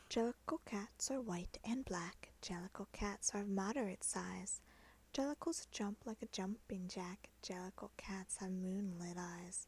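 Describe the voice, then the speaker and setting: The voice is soft-spoken and whispering. It moves at a fairly slow pace. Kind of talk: soft-spoken poetry reading for relaxation. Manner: soft-spoken, whispered.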